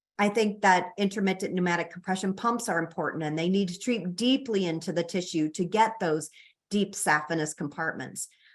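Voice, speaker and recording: A woman with a Chicago accent, fairly low pitch, ordinary pitch variation and a moderate pace. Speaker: physician and researcher. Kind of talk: lecture. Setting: online presentation. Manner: hesitant with fillers.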